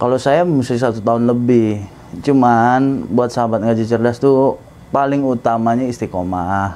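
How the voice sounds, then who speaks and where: A man speaks at a moderate pace in a medium pitch. His pitch varies in an ordinary way, and his loudness stays very even. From Jakarta, Indonesia (Batak family). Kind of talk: interview testimony.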